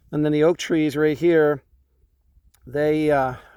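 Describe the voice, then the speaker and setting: A man with a Canadian accent speaks in a fairly high voice. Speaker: vlogger. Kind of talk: casual vlog talk to camera. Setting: outdoors in the forest.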